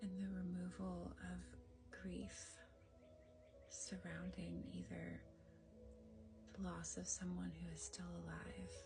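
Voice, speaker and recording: Background music runs under very slow speech broken by long, frequent pauses. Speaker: energy healer. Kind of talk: guided energy healing. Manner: soft-spoken, gentle.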